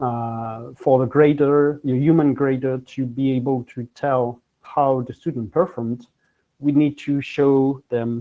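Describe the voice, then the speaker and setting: Fairly even in intonation, a man speaks at a medium pitch with a French accent. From France. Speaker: technology business professional. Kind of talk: conference presentation. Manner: halting, many fillers.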